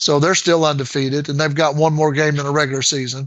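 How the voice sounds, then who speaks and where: In an American accent, a man speaks with flat, monotone intonation. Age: 60s. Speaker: engineer and retired sports coach. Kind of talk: casual chat. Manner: halting, many fillers.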